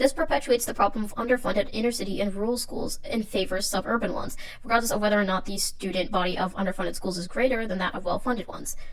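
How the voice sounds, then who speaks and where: Very fast speech with hardly any pauses, over noticeable background noise. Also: woman, fairly high pitch for a woman, ordinary pitch variation. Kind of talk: educational video essay narration.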